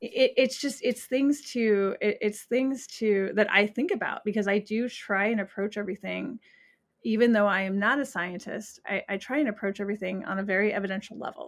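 A woman speaks in a plain, everyday voice, fairly high in pitch with ordinary pitch variation, at a fairly quick pace. The recording is very clean, with a silent background. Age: 40s. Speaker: animal communicator and psychic medium. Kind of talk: casual interview chat.

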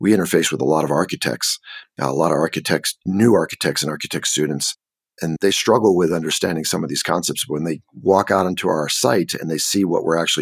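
A man with an American accent talks at a fairly quick pace in a very deep, low voice with vocal fry. His pitch varies in an ordinary way, and the sound is dry and close with no echo. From California. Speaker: construction director. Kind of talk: casual interview.

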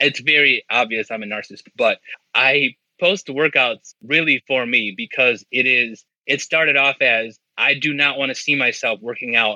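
A man's normal speaking voice, fairly high in pitch, at a fairly slow pace. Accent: American. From Indiana, near Chicago. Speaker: steel mill worker and student. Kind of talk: casual interview.

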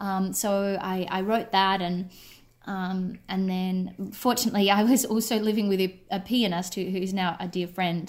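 At a moderate pace, a woman with an Australian accent speaks in a medium pitch with monotone, flat intonation. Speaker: writer and actor. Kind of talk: casual radio interview. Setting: radio interview by call.

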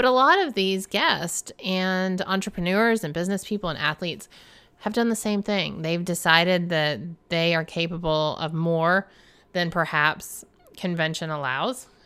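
With a Southern US accent, a woman speaks in a fairly low pitch, her tone bright and sharp and her pitch variation ordinary. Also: moderate pace, very clean recording, silent background. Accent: Southern American. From US South. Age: 50s. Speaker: podcast host. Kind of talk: casual monologue. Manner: laughs often.

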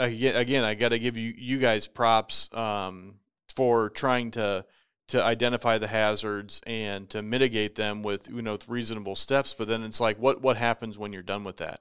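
Intonation stays monotone and flat. The man's voice holds a medium pitch. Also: very clean recording, silent background. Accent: American. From Nebraska, US Midwest. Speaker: insurance risk advisor. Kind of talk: casual chat.

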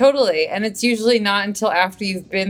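With an American accent and a normal speaking voice, a woman talks at a fairly quick pace with ordinary pitch variation. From US, Maryland suburbs of DC. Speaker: novelist. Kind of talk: casual interview.

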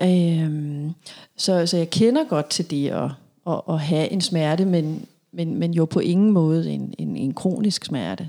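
Speaking at a very slow pace, a woman with a fairly low pitch and a dark, mellow tone uses ordinary pitch variation on a very clean recording with a silent background. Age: 40s. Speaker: psychologist. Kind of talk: interview. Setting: therapy room. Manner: hesitant, many fillers.

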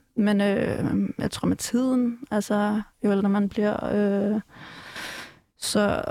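Dark, mellow tone in a medium-pitched female voice. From Denmark, Ballerup. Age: 20s. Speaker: activist. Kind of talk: casual chat. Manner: halting.

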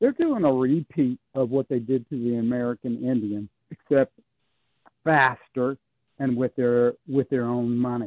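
A man with a normal speaking voice, medium pitch, fairly even intonation and a fairly slow pace. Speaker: caller. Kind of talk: call-in radio. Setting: phone call.

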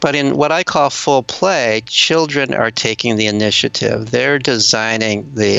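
Noticeable noise sits in the background. The man talks at a moderate speed. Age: 70s. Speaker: retired professor and author. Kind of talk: interview. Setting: remote call.

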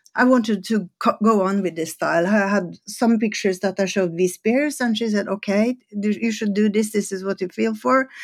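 A woman of medium pitch at a fairly quick pace, with ordinary pitch variation and hardly any pauses, in a very clean recording with a silent background. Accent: Norwegian. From Norway. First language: Norwegian. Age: 60s. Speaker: photographer and former fashion designer. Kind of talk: casual interview chat.

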